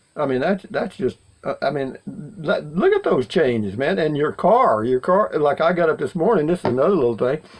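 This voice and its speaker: Hardly pausing, a man talks at a moderate pace. His intonation is lively. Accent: Texan. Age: 70s. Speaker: vlogger. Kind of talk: casual monologue. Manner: rambling with many fillers.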